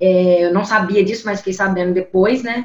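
This woman's voice is somewhat breathy. She keeps a moderate pace with ordinary pitch variation. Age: 20s. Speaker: company CEO. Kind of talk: interview.

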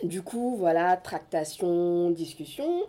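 Fairly low female voice with a dark, mellow tone. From France, Senegalese family. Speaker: afrofeminist activist. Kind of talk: casual chat.

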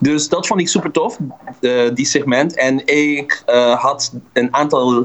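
Noticeable background noise runs behind a man speaking at a fairly slow pace, at a medium pitch with ordinary pitch variation. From Dutch Caribbean (Curaçao, Bonaire). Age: 30s. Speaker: musician. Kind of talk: interview.

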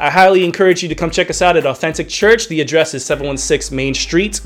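Over background music, a man speaks at a fairly quick pace with hardly any pauses, his pitch fairly high with ordinary variation and his tone upbeat and animated. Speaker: radio host. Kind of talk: radio DJ patter, show intro and interview. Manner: upbeat, animated, enthusiastic broadcaster.

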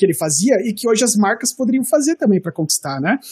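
At a very fast pace, a man speaks at an extremely high pitch with very wide pitch swings, the sound dry and close with no echo. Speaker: design teacher and content creator. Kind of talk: casual chat.

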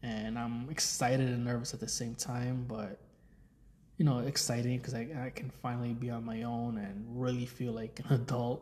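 Monotone and flat, a man speaks at medium pitch and a moderate pace, his tone dark, mellow and somewhat breathy. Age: 30s. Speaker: podcast host. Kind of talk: casual monologue. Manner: rambling filler-heavy speech.

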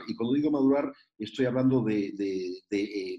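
Speaking fairly slowly, a man uses a medium-pitched voice with a dark, mellow tone. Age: 60s. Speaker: youth mentor. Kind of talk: interview.

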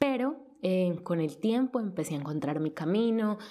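Her tone dark and mellow, a woman talks at a fairly slow pace with lively intonation. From Colombia. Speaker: freelance journalist. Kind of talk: personal testimony. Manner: halting, many repetitions.

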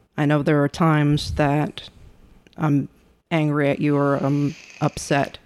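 Soft-spoken and at a very deep, low pitch, a woman talks in a monotone, flat intonation at a fairly slow pace with long, frequent pauses. Her loudness stays very even on a very clean recording with a silent background. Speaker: co-host spouse. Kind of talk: casual chat.

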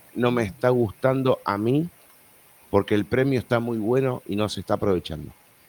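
At a moderate pace, the speaker talks with an Argentine accent in a dry, close sound with no echo. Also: man. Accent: Argentine Rioplatense. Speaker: podcast host. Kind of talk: casual chat. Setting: live stream online.

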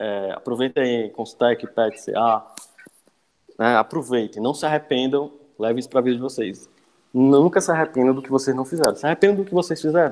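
This man has an ordinary speaking voice, medium in pitch, moving at a fairly quick pace with ordinary pitch variation. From Ceará east coast, Brazil (Cascavel). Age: 20s. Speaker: structural engineer and university lecturer. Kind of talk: podcast interview.

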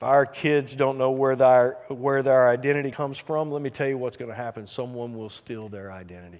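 In an unremarkable speaking voice, a man talks at a fairly quick pace with medium pitch, ordinary pitch variation and big swings in loudness. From US South. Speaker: pastor. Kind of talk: sermon.

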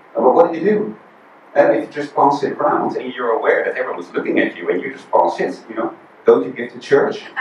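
The speaker talks very fast in a Dutch accent, with big swings in loudness. Audible room echo and noticeable background noise fill the recording. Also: man. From Netherlands. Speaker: visiting preacher. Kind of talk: sermon. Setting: church.

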